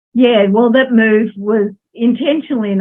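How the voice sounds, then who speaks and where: Speaking at a moderate pace, a woman uses an Australian accent. Her pitch variation is ordinary. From Australia, Melbourne. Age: 60s. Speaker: social worker. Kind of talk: interview.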